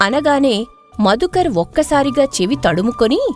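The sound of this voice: Against faint background music, a woman talks at a moderate pace in a high, slightly mellow voice that swings widely in pitch.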